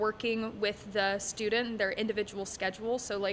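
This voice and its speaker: Female voice with a bright, sharp tone and an American accent. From Texas, Dallas area. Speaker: holistic music teacher. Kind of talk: casual interview. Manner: filler-heavy (um, uh).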